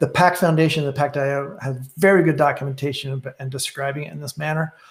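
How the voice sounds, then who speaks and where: Very fast and somewhat breathy, a man speaks at a fairly high pitch with fairly even intonation. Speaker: software presenter. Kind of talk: technical webinar presentation. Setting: online webinar. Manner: halting with many fillers.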